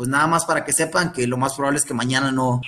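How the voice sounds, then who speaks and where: Music plays in the background of this clip. A man speaks at a fairly high pitch with ordinary pitch variation. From Guatemala, Guatemala City. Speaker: former youth international footballer. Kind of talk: interview.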